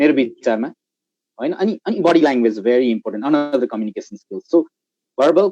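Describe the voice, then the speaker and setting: The speaker has a Nepali accent and a dark, mellow tone at a moderate pace. The sound is dry and close with no echo. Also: man. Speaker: guest speaker, marketing professional. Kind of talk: live panel discussion.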